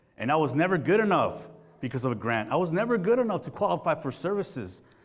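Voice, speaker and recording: A man talks very fast in an animated tone with vocal fry. Audible room echo comes through. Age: 30s. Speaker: community program founder. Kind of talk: speech to an audience. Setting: stage with audience.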